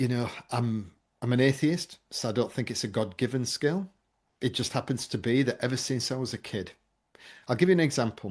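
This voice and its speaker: A man with an English accent, medium pitch, ordinary pitch variation and a fairly quick pace broken by long, frequent pauses, over a quiet background. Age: 50s. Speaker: memory trainer and presentation coach. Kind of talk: podcast interview.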